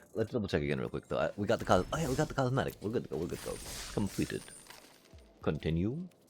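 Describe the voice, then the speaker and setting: Over music in the background, a man with a very deep, low pitch races along at a very fast pace with very wide pitch swings. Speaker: gaming streamer. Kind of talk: casual livestream chat. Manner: fast, stuttering.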